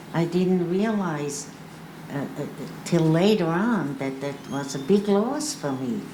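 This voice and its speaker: A woman with a fairly low pitch speaks very slowly, her intonation lively. Music plays behind her, and the room adds audible echo. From Austria, Vienna. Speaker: Holocaust survivor panelist. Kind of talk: panel testimony. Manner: halting.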